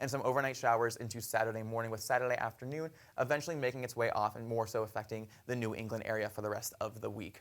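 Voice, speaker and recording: A man at medium pitch, talking at a very fast pace on a very clean recording with a silent background. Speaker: student meteorologist. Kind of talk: TV weather forecast.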